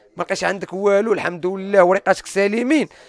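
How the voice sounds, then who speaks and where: Speaking at a very fast pace with ordinary pitch variation, a man's voice comes through dry and without echo. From Morocco, Salé; Morocco. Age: 20s. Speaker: former prisoner and YouTuber. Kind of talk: personal testimony interview. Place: home room. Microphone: handheld.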